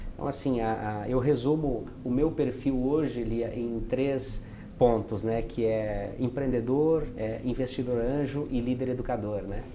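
In a dark, mellow tone, a man speaks at a fairly slow pace with hardly any pauses, medium pitch, and fairly even intonation over light background noise. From rural Rio Grande do Sul, Brazil. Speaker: entrepreneur and agency founder; interviewee. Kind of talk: interview. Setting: at a live event. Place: studio. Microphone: lapel.

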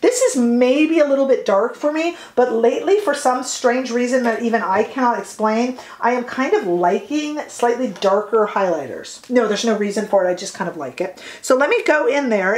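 A woman with a high pitch speaks at a moderate pace amid audible room echo. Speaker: beauty vlogger. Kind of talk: casual makeup tutorial chat. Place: home room.

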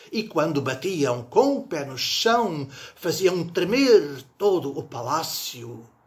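Very wide pitch swings run through this man's speech. He talks at a very slow pace. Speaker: poetry reciter. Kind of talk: poem reading aloud, measured and reflective. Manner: slow, deliberate, wistful and ironic. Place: home room. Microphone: phone near.

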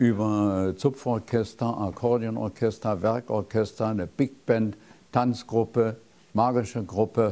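The pace of this man's speech is very slow. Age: 80s+. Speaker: magician. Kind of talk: interview answer. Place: studio. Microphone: lapel.

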